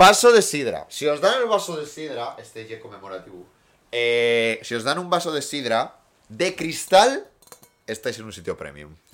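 Fairly high-pitched male voice at a moderate pace, with very wide pitch swings and big swings in loudness. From Asturias, Spain (Gijón). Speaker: podcast co-host. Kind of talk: casual chat.

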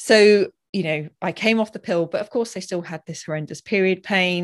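This woman speaks at a medium pitch with ordinary pitch variation, in an ordinary speaking voice. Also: quiet background. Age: 40s. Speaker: hormone health author and doula. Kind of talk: casual interview chat. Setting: video call.

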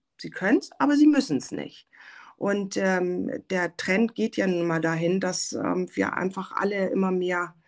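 On a very clean recording with a silent background, a woman with a plain, everyday voice speaks at a fairly slow pace and medium pitch. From Germany, Hamburg. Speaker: software founder, former visual merchandiser. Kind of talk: casual interview. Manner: many filler sounds.

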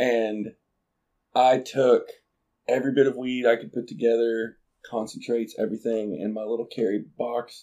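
Using a dark, mellow tone and medium pitch, a man with an American accent speaks at a moderate pace in a monotone, flat way, leaving long, frequent pauses. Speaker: podcast host. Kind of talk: casual chat.

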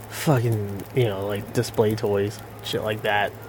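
A man at a fairly slow pace, fairly even in intonation, with noticeable background noise. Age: 40s. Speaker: gaming streamer. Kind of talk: casual gameplay commentary. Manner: casual, filler-heavy and profane.

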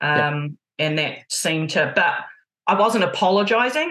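A woman speaks with a New Zealand accent. Her voice sits fairly low in pitch, with a bright, sharp tone. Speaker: basketball coach and sports therapist. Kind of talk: casual interview. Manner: loud, emotive; direct.

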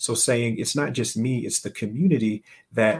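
A man's unremarkable speaking voice with an American accent, medium in pitch, with fairly even intonation. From US South, Alabama. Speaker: entrepreneur and investor. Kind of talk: interview conversation.

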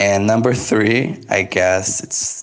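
A man with a Portuguese accent at a very slow pace, noticeable background noise behind him. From Brazil. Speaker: podcast co-host, language teacher. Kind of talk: casual chat.

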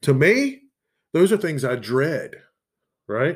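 A man with a Southern US accent, fairly high pitch and a fairly slow pace, on a very clean recording with a silent background. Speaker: podcast host. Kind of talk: casual solo monologue, profane. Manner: casual, relaxed, expressive.

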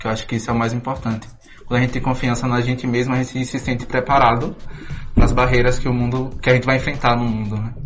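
A man at a very fast pace and medium pitch, monotone and flat in intonation, over noticeable background noise. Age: 20s. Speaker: theatre student, show producer. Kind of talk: radio interview.

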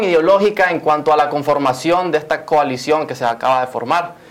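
Over noticeable background noise, a man talks fairly quickly in a fairly high pitch with ordinary pitch variation. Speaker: TV host. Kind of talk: TV talk show.

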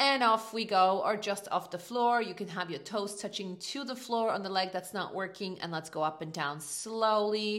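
A woman's normal speaking voice at a medium pitch, at a moderate pace with hardly any pauses. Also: ordinary pitch variation. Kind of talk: guided workout class, spoken instructions. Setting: gym or home, no music, voice only. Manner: clear, encouraging, coaching cues; upbeat, motivating, friendly.

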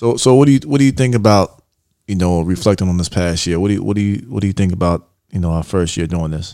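Very fast speech from a man with a very deep, low pitch. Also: ordinary pitch variation. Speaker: podcast host. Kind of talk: casual chat.

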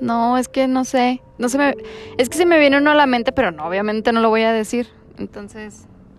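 Talking at a fairly quick pace, a woman with a high pitch and ordinary pitch variation is heard over noticeable background noise. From Mexico, Durango. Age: 20s. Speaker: psychologist. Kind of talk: casual chat.

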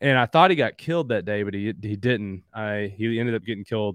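A man with an American accent speaks at a fairly quick pace and a fairly low pitch. The sound is dry and close with no echo, over a quiet background. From Southeastern Kentucky, Appalachia. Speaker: hunting app founder and CEO. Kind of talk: casual interview chat.

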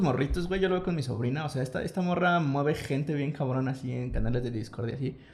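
Very fast speech from a man with a fairly high pitch, big swings in loudness, and noticeable background noise. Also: hardly any pauses. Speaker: podcast host. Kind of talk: casual chat.

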